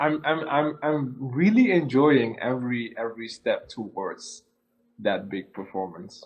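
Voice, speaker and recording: This man talks at a very slow pace. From Suriname. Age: 20s. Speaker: singer-songwriter. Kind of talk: interview. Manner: hesitant, repeats words.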